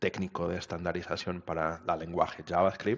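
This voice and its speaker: With a Portuguese accent, a man speaks at a moderate pace in a very deep, low pitch and a monotone, flat intonation. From Portugal. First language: Portuguese (speaking Spanish). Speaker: web standards expert. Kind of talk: interview. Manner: halting.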